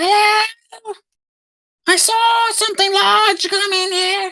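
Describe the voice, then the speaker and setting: A put-on character voice at an extremely high pitch moves at a very slow pace. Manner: curious, tentative.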